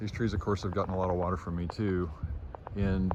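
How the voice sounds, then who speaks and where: Noticeable background noise sits under this recording. A man speaks with a very deep, low pitch. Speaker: gardener and environmental video blogger. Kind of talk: casual outdoor video report. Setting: outdoors. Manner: halting, with many fillers.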